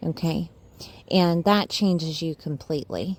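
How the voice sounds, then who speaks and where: A woman with a Southern accent speaks at a fairly slow pace in a fairly low pitch. Her pitch varies in an ordinary way, and the recording is very clean with a silent background. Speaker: astrologer. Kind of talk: astrology forecast monologue. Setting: voice-only video, face not shown. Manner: casual, uses fillers.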